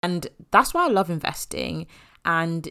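Speaking with an English accent, a woman uses a fairly low pitch at a moderate pace. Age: 20s. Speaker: podcast host and money coach. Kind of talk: solo podcast monologue. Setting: home office.

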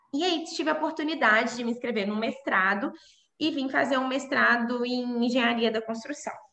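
A woman with a fairly high voice talks at a moderate pace with lively intonation, and room echo can be heard. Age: 20s. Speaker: civil engineer. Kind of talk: interview. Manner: halting.

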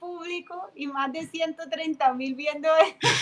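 In a Cali Colombian accent, a woman talks at a very slow pace with an extremely high pitch. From Colombia, Cali. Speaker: timbal player and percussion teacher. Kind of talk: casual interview.

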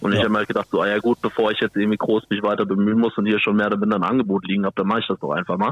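A man speaks at a very fast pace with hardly any pauses. His pitch is fairly low and his intonation fairly even. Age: 20s. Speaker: bar manager, trained waiter. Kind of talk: casual chat.

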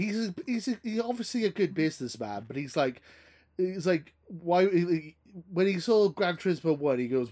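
This man speaks with a Welsh accent, his high voice dark and mellow in tone and swinging very widely in pitch. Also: moderate pace. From Wales. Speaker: podcast host.

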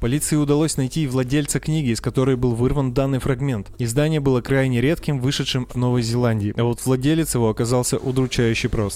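Dramatic in tone, a man with a medium pitch talks at a fairly quick pace with fairly even intonation and hardly any pauses. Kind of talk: true-crime narration. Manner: measured, dramatic storytelling pace; formal, polished, slightly ironic tone.

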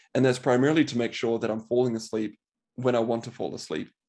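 A man with a New Zealand accent talks fairly quickly at a medium pitch, his intonation fairly even and his voice showing vocal fry. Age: 30s. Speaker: medical doctor. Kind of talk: interview.

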